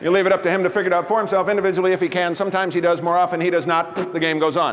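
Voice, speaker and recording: Noticeable background noise sits behind a man talking at a very fast pace in a high pitch with monotone, flat intonation. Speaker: comedian. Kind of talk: live stand-up comedy performance.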